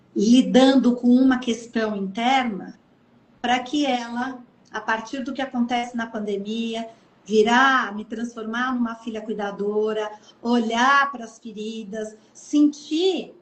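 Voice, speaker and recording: A woman's fairly high voice at a very slow pace, with big swings in loudness and noticeable background noise. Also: fairly even intonation. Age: 60s. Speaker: author. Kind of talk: interview. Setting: live stream.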